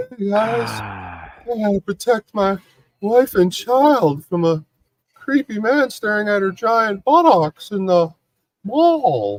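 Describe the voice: Someone performs a put-on character voice, speaking fairly slowly. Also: man, high pitch for a man.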